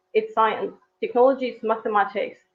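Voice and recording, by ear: A woman speaks at a fairly quick pace with a fairly high pitch and ordinary pitch variation. Vocal fry runs through her voice.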